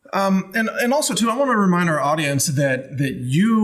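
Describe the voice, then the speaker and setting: This man speaks with an American accent at a moderate pace, his pitch swinging very widely. Noticeable background noise runs underneath. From Texas. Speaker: podcast host. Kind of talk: casual interview chat. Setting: studio.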